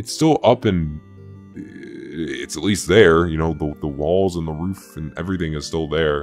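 A man's put-on character voice, very deep and low, mumbling in a weary tone at a moderate pace, with faint music in the background. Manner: weary, mumbling, hesitant.

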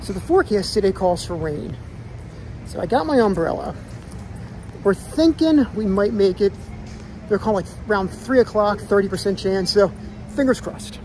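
Music plays in the background as a man speaks at a moderate pace with lively intonation. He leaves long, frequent pauses. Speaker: vlogger parent. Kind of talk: casual vlog chat. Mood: cheerful, excited. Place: street. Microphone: phone near.

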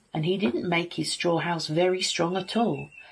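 A woman talks in an animated, warm tone. The background is quiet. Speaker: teacher reading a story to children. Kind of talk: bedtime story reading aloud. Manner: animated, using distinct character voices; warm, expressive, child-friendly storyteller. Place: home room. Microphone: phone near.

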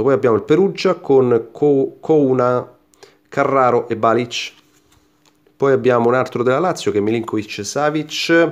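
Against a quiet background, a man speaks at a moderate pace with ordinary pitch variation and long, frequent pauses. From Italy. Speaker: YouTuber opening sticker packs. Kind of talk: casual unboxing commentary to camera. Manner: animated. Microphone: phone near.

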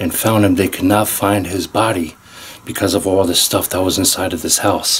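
In a fairly low voice with monotone, flat intonation, a man speaks at a moderate pace over light background noise. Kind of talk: casual vlog chat. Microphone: phone near.

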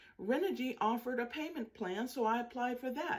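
Against a quiet background, a woman with a high pitch speaks at a moderate pace, her intonation lively. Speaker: home solar power vlogger. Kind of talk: casual vlog chat. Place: home room. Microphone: phone near.

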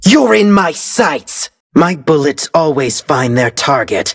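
Putting on a character voice, a man speaks slowly at a fairly high pitch, with big pitch swings, vocal fry and a slightly husky edge.

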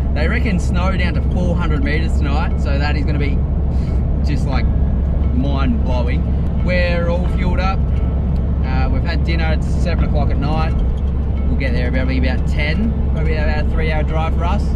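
Long, frequent pauses break up the speech, which has a dry sound with no echo over loud background noise. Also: moderate pace. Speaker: 4x4 trip vlogger. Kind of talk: casual vlog chat. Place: car. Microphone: phone near.

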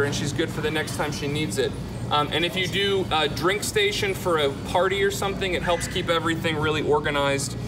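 The speech moves at a fairly quick pace against noticeable background noise. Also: man. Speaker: in-store product demonstrator. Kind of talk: live infomercial-style product demonstration to a crowd. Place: shop.

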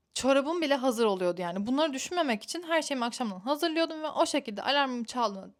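A high-pitched woman talks very fast with lively intonation and hardly any pauses. The recording is very clean, with a silent background. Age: 20s. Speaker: lifestyle vlogger. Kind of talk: casual vlog talk to camera.

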